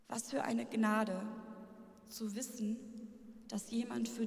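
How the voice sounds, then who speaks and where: The woman's fairly high voice moves at a very slow pace with monotone, flat intonation. Noticeable background noise sits behind her. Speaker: church pastoral worker. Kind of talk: spoken-word performance.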